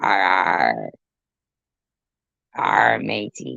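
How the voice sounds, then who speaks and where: In a put-on character voice, a man growls at a very deep, low pitch with a raspy sound. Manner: mock-piratical, playful.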